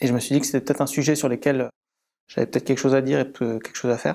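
Flat and monotone, a man speaks with a dark, mellow tone. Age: 30s. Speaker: sports data and marketing professional. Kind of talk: interview. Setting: in-person recording in an office. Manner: hesitant, with frequent fillers and repetitions.

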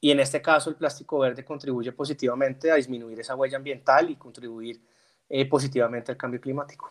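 A man speaks very fast at a medium pitch. His intonation stays monotone and flat. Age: 30s. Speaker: corporate sustainability manager. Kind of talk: interview. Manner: halting.

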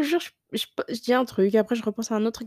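A woman's fairly high, somewhat breathy voice, with an animated tone and a very fast pace. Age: 20s. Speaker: lifestyle podcaster. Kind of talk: casual monologue.

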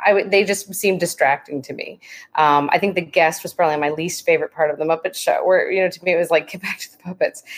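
A woman's medium-pitched voice at a very fast pace, with fairly even intonation and big swings in loudness. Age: 40s. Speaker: podcast guest, muppet fan by marriage. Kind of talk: casual chat.

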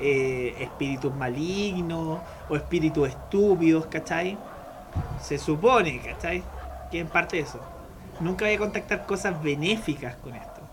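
A man with a Chilean accent talks at a fairly slow pace and fairly high pitch, with ordinary pitch variation and big swings in loudness, over noticeable background noise. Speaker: podcast host. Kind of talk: casual chat.

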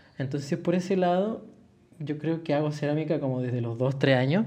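A man with a dark, mellow tone, a fairly quick pace and ordinary pitch variation. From Chile. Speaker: ceramicist. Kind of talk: casual chat.

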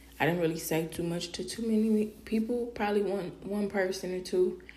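A woman speaks with fairly even intonation. Audible room echo can be heard. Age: 30s. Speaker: podcast host, mother. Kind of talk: casual personal monologue. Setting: live podcast stream.

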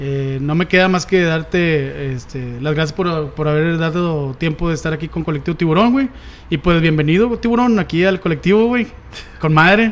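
A man with a Mexican accent talks at a moderate pace, his pitch fairly high with ordinary variation. Noticeable background noise runs underneath. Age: 30s. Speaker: podcast host. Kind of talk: casual chat. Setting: studio.

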